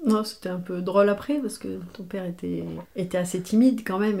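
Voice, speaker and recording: The tone is dark and mellow. The pace is moderate. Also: woman. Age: 50s. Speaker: mother of the host. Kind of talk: casual chat.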